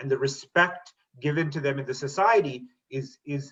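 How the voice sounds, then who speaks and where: This man speaks with a Canadian accent at a fairly high pitch, using ordinary pitch variation. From Canada, Toronto area (moved from India at six). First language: Tamil. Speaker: teacher and school board trustee. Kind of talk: panel talk on video webinar. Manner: hesitant, with many fillers.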